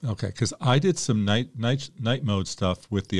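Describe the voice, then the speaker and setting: The recording is very clean, with a silent background. A man speaks in an ordinary speaking voice with ordinary pitch variation. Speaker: podcast host. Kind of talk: podcast intro and commentary.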